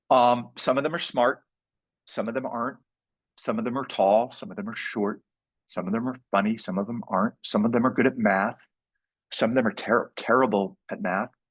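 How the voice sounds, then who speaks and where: With a normal speaking voice, a man speaks at a medium pitch and a fairly quick pace with fairly even intonation. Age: 60s. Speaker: entrepreneur workshop speaker. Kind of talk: live workshop talk. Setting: live event with audience.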